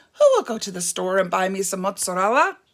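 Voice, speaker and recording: A woman puts on a raspy character voice in a medium pitch. She talks at a very fast pace with fairly even intonation. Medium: read story. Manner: polite, determined.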